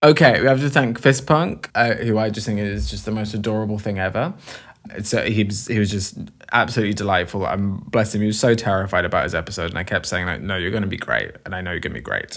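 A man talks very fast with vocal fry and ordinary pitch variation. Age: 30s. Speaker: podcast co-host and artist. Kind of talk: casual chat. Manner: animated.

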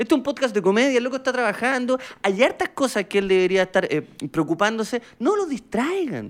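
In a very clean recording with a silent background, a man with a Chilean accent speaks at a fairly quick pace. His pitch is extremely high and swings very widely. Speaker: podcast host. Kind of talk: casual chat.

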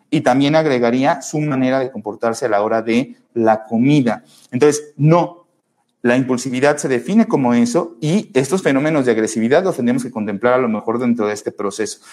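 This man has a Mexican accent. He speaks at a fairly quick pace with ordinary pitch variation. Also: medium pitch for a man. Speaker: pediatric neurologist hosting a podcast. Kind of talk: solo educational talk answering live comments. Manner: casual with fillers.

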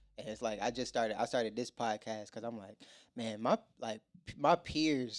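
This is a man with an American accent and an unremarkable speaking voice. His medium pitch and moderate pace come through on a very clean recording with a silent background. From Virginia, US. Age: 20s. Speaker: podcast host. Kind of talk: casual chat. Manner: laughs often.

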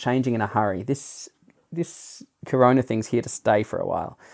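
Ordinary pitch variation, in an Australian accent. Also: man. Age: 40s. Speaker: street theatre performer. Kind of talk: interview. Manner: hesitant, many fillers.

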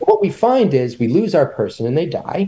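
A man speaks at a moderate pace. His tone is dark and mellow, somewhat breathy. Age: 50s. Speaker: company founder and CEO. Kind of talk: interview.

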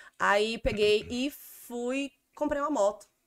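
A woman talks with lively intonation. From São Paulo, Brazil (Taipas). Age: 40s. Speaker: stand-up comedian. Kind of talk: casual chat.

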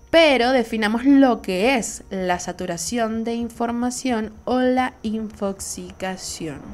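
Speaking at a very slow pace, a woman with a fairly high pitch uses ordinary pitch variation over noticeable background noise. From Venezuela. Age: 20s. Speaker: podcast host. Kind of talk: solo casual monologue.

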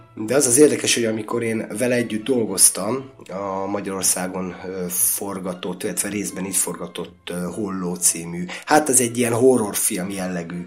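Over noticeable background noise and audible room echo, a man with a fairly low pitch and ordinary pitch variation speaks with hardly any pauses. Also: moderate pace. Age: 50s. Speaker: casting director. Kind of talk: casual chat.

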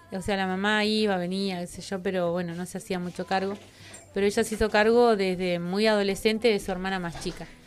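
Over music in the background, a woman talks at a fairly quick pace. Her medium-pitched voice has monotone, flat intonation. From Argentina, Neuquén. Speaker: chamber of commerce president. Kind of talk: interview.

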